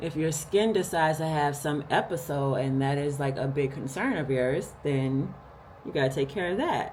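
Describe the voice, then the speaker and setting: The voice is somewhat breathy, with ordinary pitch variation at a moderate pace. There is audible room echo. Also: woman, very deep, low pitch for a woman. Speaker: lifestyle vlogger. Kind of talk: casual vlog talk to camera. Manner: animated.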